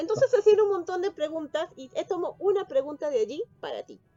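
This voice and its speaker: In a Peruvian accent, a woman talks at a fairly quick pace, recorded dry and close with no echo but with noticeable background noise. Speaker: interviewer. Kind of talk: interview.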